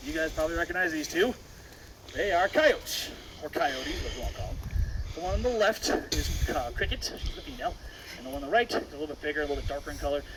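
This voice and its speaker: Amid noticeable background noise, a man talks at a very fast pace yet with long, frequent pauses. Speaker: wildlife center tour guide. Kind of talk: guided tour talk. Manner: loud.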